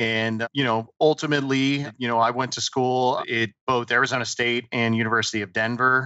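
A man with an American accent talks at a fairly quick pace in a monotone, flat intonation. The background is quiet. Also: dry sound with no echo. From US East Coast, southern New Jersey. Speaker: insurance executive; podcast guest. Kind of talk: interview. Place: home room. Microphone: headset.

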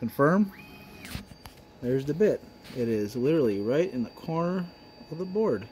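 Over light background noise, a man with an American accent talks at a moderate pace in a fairly high voice, his pitch swinging very widely and his speech broken by long, frequent pauses. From US Midwest. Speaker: woodworking YouTuber. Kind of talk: tutorial. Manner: casual. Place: workshop. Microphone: phone near.

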